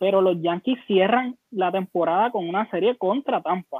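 Here a man speaks at a fairly slow pace. His pitch is high, with ordinary pitch variation. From Puerto Rico, Humacao. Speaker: baseball commentator. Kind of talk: casual chat. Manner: halting, many repetitions.

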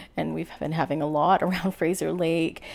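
A woman with a Canadian accent speaks at a fairly quick pace, her pitch very deep and low. Her intonation is monotone and flat, with vocal fry. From British Columbia, Canada. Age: 40s. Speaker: small-town mayor. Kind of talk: interview conversation.

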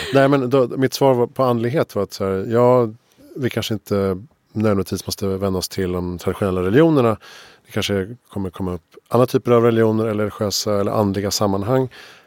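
The recording is very clean, with a silent background and a dry, close sound free of echo. Speech comes at a very fast pace with ordinary pitch variation. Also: man, fairly low pitch for a man. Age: 40s. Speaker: podcast host. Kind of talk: interview conversation. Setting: studio.

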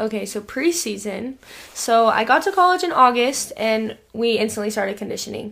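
A woman with a plain, everyday voice, fairly high in pitch, lively in intonation, at a moderate pace. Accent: American. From Idaho. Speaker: college basketball player. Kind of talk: casual interview.

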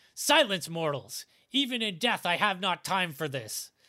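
A man's put-on character voice, high-pitched and hissing, at a moderate pace, in a very clean recording with a silent background. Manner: hissing, menacing.

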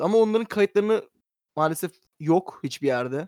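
Lively in intonation and high in pitch, a man speaks at a moderate pace in a dry, close sound with no echo. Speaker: podcast host. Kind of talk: casual chat.

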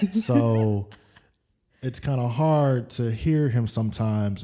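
This is a man speaking. His pitch is medium. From military kid, born San Antonio, Texas; summers in New Orleans. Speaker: author, former party promoter. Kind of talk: casual chat. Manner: animated.

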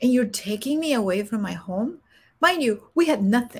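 With a Spanish accent, a woman speaks in a somewhat breathy voice with lively intonation. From Guatemala. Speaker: executive coach and former Air Force senior enlisted leader. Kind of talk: interview testimony.

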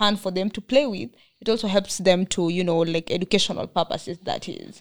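A woman talks at a fairly quick pace in a Kenyan accent. Her pitch variation is ordinary, and the sound is dry and close with no echo. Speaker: podcast host. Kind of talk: interview. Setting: studio.

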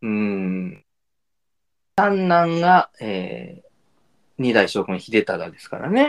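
Speaking at a very slow pace, a man leaves long, frequent pauses. His pitch swings very widely and his loudness shifts a lot. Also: medium pitch for a man. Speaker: podcast co-host. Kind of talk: casual chat. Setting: remote two-location recording.

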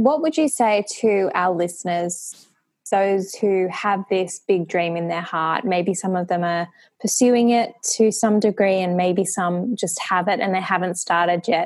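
In a plain, everyday voice, a woman speaks at a fairly slow pace with a medium pitch and ordinary pitch variation. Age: 30s. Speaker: podcast host. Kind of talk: interview.

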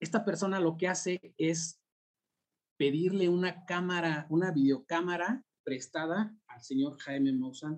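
With big swings in loudness and ordinary pitch variation, a man speaks at a high pitch and a fairly slow pace. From Mexico City (Ajusco). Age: 40s. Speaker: UFO sighting witness and enthusiast. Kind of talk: casual chat.

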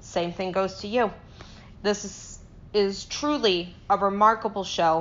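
A woman talks in an ordinary speaking voice at a medium pitch, keeping her intonation fairly even. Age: 20s. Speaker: podcast sound editor. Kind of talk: prepared personal statement.

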